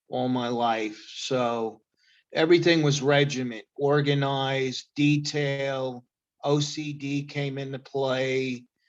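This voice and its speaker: Against a quiet background, a man with an American accent speaks at fairly high pitch in a monotone, flat intonation and at a very slow pace. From New York (Queens, Long Island). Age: 60s. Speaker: chef. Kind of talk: testimony. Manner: hesitant, many fillers.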